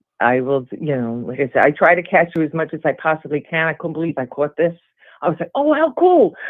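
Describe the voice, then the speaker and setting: The speaker has a Brooklyn accent. The pace is fairly quick. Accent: Brooklyn New York. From Brooklyn, New York. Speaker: caller, gym worker in recovery. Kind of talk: casual chat.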